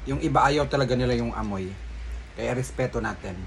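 A man speaks over light background noise. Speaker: food vlogger. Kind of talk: casual vlog chat. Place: home room. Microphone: phone near.

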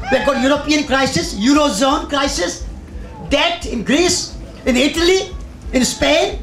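In an Indian accent, a man speaks at a moderate pace, with audible room echo and light background noise. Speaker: environmental magazine editor and speaker. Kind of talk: public talk. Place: tent. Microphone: handheld.

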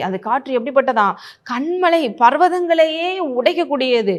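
A woman's voice is high in pitch with lively intonation. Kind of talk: sermon, devotional message.

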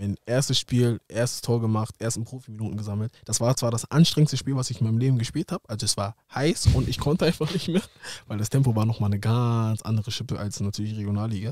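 Against a quiet background, a man talks at a very fast pace in a dry sound with no echo. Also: medium pitch for a man, ordinary pitch variation. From Germany, Hamburg; Germany. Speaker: professional footballer; podcast guest. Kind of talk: casual interview. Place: studio. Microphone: studio mic.

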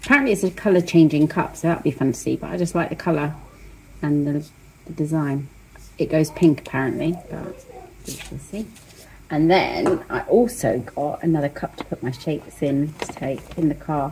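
Very deep, low-pitched woman's voice at a moderate pace, ordinary pitch variation, light background noise. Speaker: diet vlogger. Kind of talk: casual vlog chat. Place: kitchen. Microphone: phone near.

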